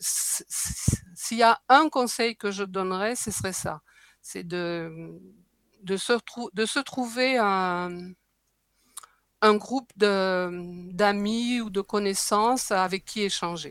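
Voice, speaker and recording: On a very clean recording with a silent background and dry, close sound with no echo, a woman of medium pitch speaks very slowly with ordinary pitch variation and long, frequent pauses. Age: 70s. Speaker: breastfeeding advocate and author. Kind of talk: interview.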